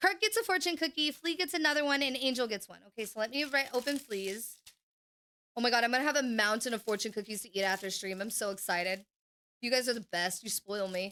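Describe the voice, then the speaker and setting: Bright and sharp in tone, a woman with a fairly high pitch speaks at a very fast pace with an animated tone and lively intonation. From Oklahoma, US. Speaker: gaming livestreamer. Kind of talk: casual livestream chat. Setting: home stream room. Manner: animated, hyperactive.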